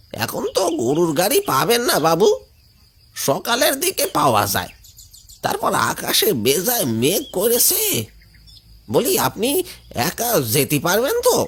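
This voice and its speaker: A cartoonish character voice. It speaks at a fairly slow pace. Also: man, high pitch for a man. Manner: chatty, warm.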